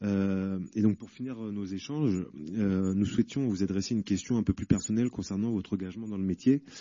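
A man has a normal speaking voice with a fairly low pitch and ordinary pitch variation. He keeps a moderate pace, with big swings in loudness. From Paris. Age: 30s. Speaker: inmate debate participant. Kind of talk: debate questions. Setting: prison hall with audience.

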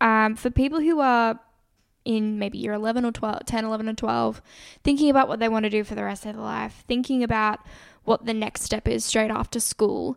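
In a very clean recording with a silent background, a woman with an Australian accent speaks. Her pitch is fairly high and her intonation fairly even. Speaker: podcast co-host, university student. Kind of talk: casual chat.

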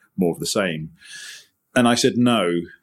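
With a Highland Scottish accent, a man talks with lively intonation in a very clean recording with a silent background. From Scottish Highlands. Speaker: estate director, former military. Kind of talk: interview.

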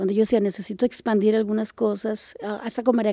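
Heard dry and close with no echo, a woman speaks at a moderate pace in a dark, mellow tone. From Costa Rica, Liberia, Guanacaste. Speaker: composer and music teacher. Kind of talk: casual interview. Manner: halting, with frequent repetitions.

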